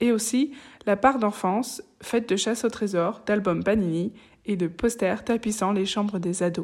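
At a fairly slow pace, a woman speaks in a medium pitch with a plain, everyday voice. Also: ordinary pitch variation. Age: 20s. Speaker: podcast host. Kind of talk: interview; scripted narration. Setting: video call.

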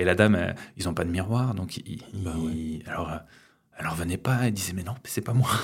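The speech moves at a fairly quick pace with ordinary pitch variation. Long pauses come often. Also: man, very deep, low pitch for a man. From Ariège, southwest France. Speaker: wildlife photographer. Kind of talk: casual chat. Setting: at his home.

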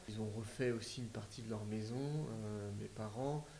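A man speaks at a fairly slow pace with ordinary pitch variation, and audible room echo is present. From Paris region, France. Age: 30s. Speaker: DIY renovator, interior design agency co-founder. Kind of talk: casual interview. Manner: halting, repeats words.

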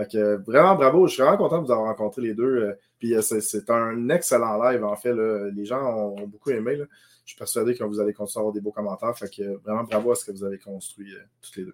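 Very fast speech from a man at medium pitch, with big swings in loudness. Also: ordinary pitch variation. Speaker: podcast co-host. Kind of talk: casual chat.

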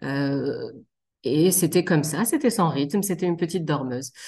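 In a quiet background, a woman with a very deep, low pitch and a dark, mellow tone speaks at a fairly slow pace. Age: 30s. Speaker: general practitioner and mother. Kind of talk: testimony. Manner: hesitant, frequent fillers.

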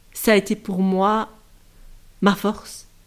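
A woman speaks at a medium pitch. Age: 40s. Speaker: former maths teacher. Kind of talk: personal testimony. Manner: halting, many hesitations.

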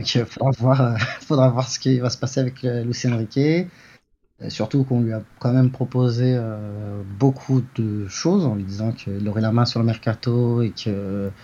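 A man speaks in a dark, mellow tone with ordinary pitch variation and a somewhat breathy quality. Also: medium pitch for a man, fairly slow pace. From Paris region, France. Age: 40s. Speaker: fantasy football pundit. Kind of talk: casual chat. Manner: halting.

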